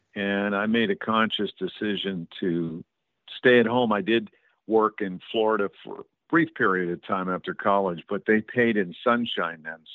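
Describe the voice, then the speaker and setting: His pitch is fairly low. This man has a plain, everyday voice. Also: ordinary pitch variation, moderate pace. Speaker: radio host and documentary producer. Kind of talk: interview.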